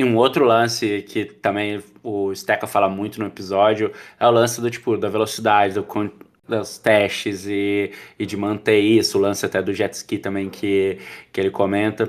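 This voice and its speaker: In a very clean recording with a silent background, a man with a fairly low pitch talks at a moderate pace in a monotone, flat intonation. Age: 30s. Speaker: podcast host, product school founder. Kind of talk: casual chat.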